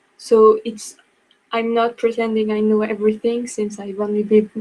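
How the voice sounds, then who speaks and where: A woman with a French accent, fairly high in pitch, fairly slow, and monotone with flat intonation. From France. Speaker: book blogger. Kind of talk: online class presentation. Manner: halting.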